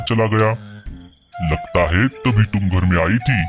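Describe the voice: A man's cartoonish character voice at a moderate pace, with faint music in the background.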